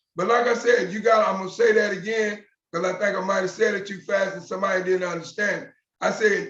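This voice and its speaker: A man talks at a fairly quick pace. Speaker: motivational speaker. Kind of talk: motivational talk. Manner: fast.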